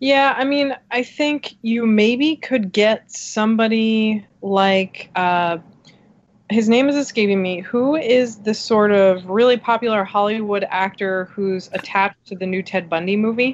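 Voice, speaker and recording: A plain, everyday voice with an American accent, a fairly slow pace and ordinary pitch variation. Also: woman, fairly high pitch for a woman. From New Jersey. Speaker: film magazine writer. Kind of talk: casual chat.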